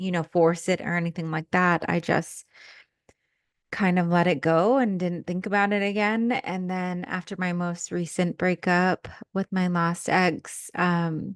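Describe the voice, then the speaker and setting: Against a quiet background, a woman with a plain, everyday voice speaks at a fairly low pitch and a fairly slow pace. Her intonation is fairly even, and the sound is dry and close with no echo. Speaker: podcast host and spiritual coach. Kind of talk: casual personal storytelling monologue. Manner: filler-heavy casual speech.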